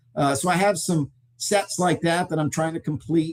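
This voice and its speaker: With a plain, everyday voice, a man of fairly high pitch speaks at a moderate pace with fairly even intonation. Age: 60s. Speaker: sports memorabilia company executive. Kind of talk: interview.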